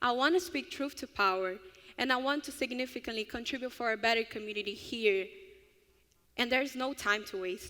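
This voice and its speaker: A woman with a Brazilian Portuguese accent speaks at a fairly quick pace in a high, bright, sharp voice on a very clean recording with a silent background. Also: ordinary pitch variation. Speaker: honors college student. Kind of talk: student speech at ceremony.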